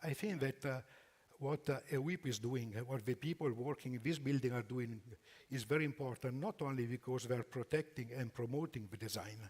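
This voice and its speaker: Somewhat breathy, a man speaks. His pace is fairly quick. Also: medium pitch for a man, ordinary pitch variation. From Italy. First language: Italian. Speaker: furniture company executive. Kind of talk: conference presentation. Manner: halting.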